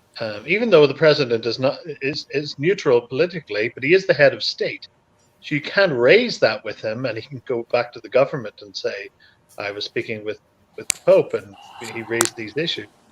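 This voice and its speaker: A man with a Northern Irish accent at a fairly quick pace, big swings in loudness, and a dry, close sound with no echo. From Northern Ireland. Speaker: clergyman and show host. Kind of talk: casual chat. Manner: halting, many repeated words.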